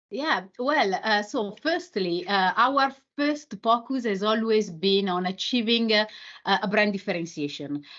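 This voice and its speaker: A woman with a fairly high pitch talks fairly slowly, her intonation lively. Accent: Italian. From Italy. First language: Italian. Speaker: marketing executive. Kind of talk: interview. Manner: halting, many fillers.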